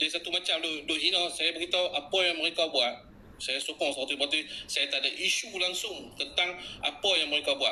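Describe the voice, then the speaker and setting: Over noticeable background noise, a man with a high-pitched voice talks at a very fast pace, keeping his loudness very even and his pitch variation ordinary. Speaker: social media activist. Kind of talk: live stream talk. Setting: live stream. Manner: animated.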